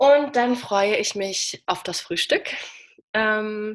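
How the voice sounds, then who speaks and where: Here is a woman with a fairly high pitch and ordinary pitch variation. She has an ordinary speaking voice. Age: 20s. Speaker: person living with diabetes, social media creator. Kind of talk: interview, casual chat.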